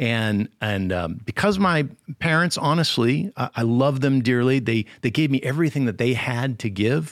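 A man talks at a moderate pace with lively intonation and medium pitch, in an unremarkable speaking voice. The recording is very clean, with a silent background. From Connecticut. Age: 50s. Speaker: youth minister. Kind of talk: interview.

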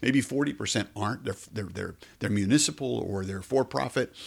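At a fairly quick pace, a man talks with lively intonation, fairly low pitch and vocal fry. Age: 50s. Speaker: theater executive director, former news anchor. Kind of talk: interview.

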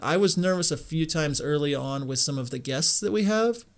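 A plain, everyday voice from a man, fairly high-pitched, with lively intonation at a moderate pace on a very clean recording with a silent background. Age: 30s. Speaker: wedding filmmaker and podcaster. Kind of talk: casual interview.

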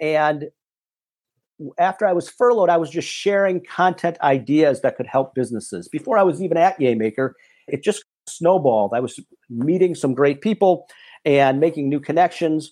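Over a silent background on a very clean recording, a man with an unremarkable speaking voice talks at a moderate pace, his fairly high pitch carried by lively intonation. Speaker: business executive and author. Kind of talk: interview.

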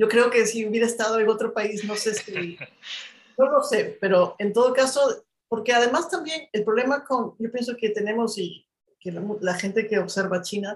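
A somewhat breathy voice speaks at a moderate pace with ordinary pitch variation. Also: woman. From Peru, Ayacucho. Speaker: journalist and writer. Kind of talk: interview. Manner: halting, with frequent repetitions.

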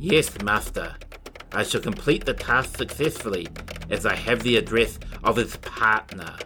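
A man growls through a put-on character voice at a moderate pace. Clear background noise runs behind him. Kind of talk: children's audiobook villain. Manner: sinister, growling, servile to his master.

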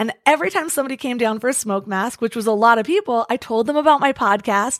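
A woman speaks at a moderate pace with a high pitch and ordinary pitch variation, in a very clean recording with a silent background. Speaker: podcaster, podcast marketer. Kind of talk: interview.

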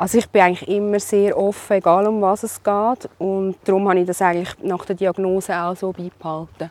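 The delivery is fairly quick, with hardly any pauses. The intonation stays monotone and flat. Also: woman, medium pitch for a woman. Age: 30s. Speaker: cancer patient and mother. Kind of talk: personal testimony interview. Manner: hesitant with fillers.

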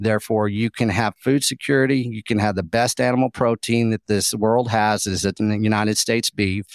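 Dry and close with no echo, a man's fairly low voice runs at a fairly quick pace with hardly any pauses and very even loudness. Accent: Texan. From Texas, Llano Estacado (West Texas). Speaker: beef advocate and food researcher. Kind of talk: podcast interview. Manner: animated.

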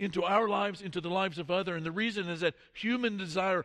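The pitch varies in an ordinary way in this clip of an unforced reading voice.

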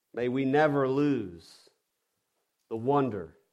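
Speaking with a Southern US accent, the man has a medium pitch. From US South. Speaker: pastor. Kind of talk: sermon. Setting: church.

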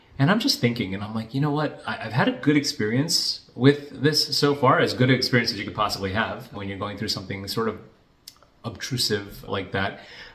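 A man talks fairly quickly. Noticeable background noise can be heard behind his voice. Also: medium pitch for a man, ordinary pitch variation. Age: 40s. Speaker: financial planner. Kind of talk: casual vlog monologue.

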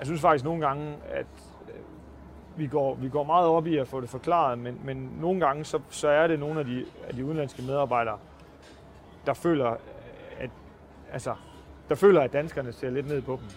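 A fairly high-pitched male voice at a moderate pace, fairly even in intonation, with long, frequent pauses. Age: 30s. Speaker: pig farmer. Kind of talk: interview. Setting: on-site at a pig farm. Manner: halting.

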